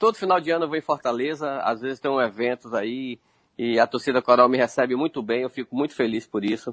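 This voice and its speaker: Over a quiet background with a dry, close sound and no echo, a man talks at a fairly quick pace in an ordinary speaking voice, medium in pitch with ordinary pitch variation. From Feira de Santana, Bahia, Brazil. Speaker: retired footballer. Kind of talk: interview.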